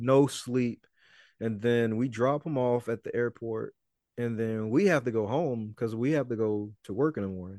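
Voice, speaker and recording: Over a quiet background, a man with a Mississippi accent speaks at a moderate pace and medium pitch, his dark, mellow tone showing ordinary pitch variation in a dry, close sound with no echo. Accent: US Southern, Mississippi. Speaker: rapper and podcaster. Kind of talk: interview conversation.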